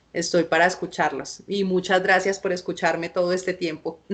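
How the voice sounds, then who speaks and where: Fairly low in pitch, a woman speaks in a monotone, flat intonation. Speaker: film lecturer. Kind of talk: lecture. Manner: halting.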